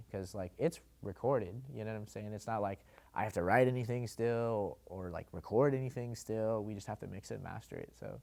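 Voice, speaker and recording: A man with an American accent and an ordinary speaking voice talks at a fairly quick pace and fairly low pitch, with ordinary pitch variation and big swings in loudness, on a very clean recording with a silent background. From eastern Washington, US. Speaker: rapper. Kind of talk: interview. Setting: sit-down interview. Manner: casual, filler-heavy.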